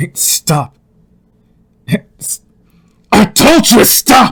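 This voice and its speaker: Doing a put-on character voice, a man speaks very slowly in a raspy, extremely high pitch, the sound dry and close with no echo. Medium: role play. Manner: agitated, shouting.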